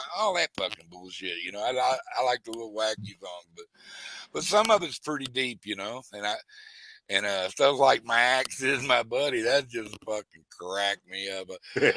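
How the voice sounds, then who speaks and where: With a Texan accent, a man speaks at medium pitch and a moderate pace, with ordinary pitch variation and big swings in loudness. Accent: Texan Southern US. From South Texas. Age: 60s. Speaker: fishing livestreamer. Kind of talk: casual chat. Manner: animated.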